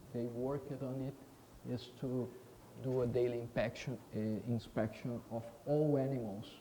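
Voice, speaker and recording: A man's somewhat breathy, dark, mellow voice with a Portuguese accent, fairly slow and fairly even in intonation, amid audible room echo. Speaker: veterinary professor. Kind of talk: conference talk. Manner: halting, many fillers; deliberately slow.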